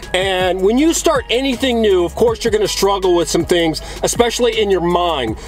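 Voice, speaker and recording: A man speaks fairly quickly. Clear music runs behind his voice. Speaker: coach. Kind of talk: motivational talk to camera. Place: car. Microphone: phone near.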